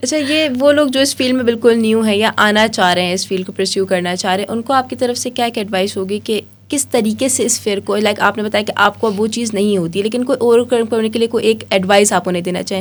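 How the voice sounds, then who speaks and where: A plain, everyday voice with ordinary pitch variation. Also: woman, fairly high pitch for a woman. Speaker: podcast host. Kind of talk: podcast interview questions.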